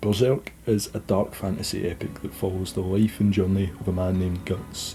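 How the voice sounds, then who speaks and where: Music plays in the background as a man speaks at a moderate pace. His pitch is very deep and low, with fairly even intonation. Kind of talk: casual video essay narration.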